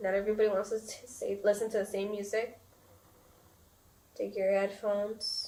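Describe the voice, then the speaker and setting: Over noticeable background noise, a woman speaks at a fairly slow pace in a fairly high pitch. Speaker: podcast host. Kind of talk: casual chat.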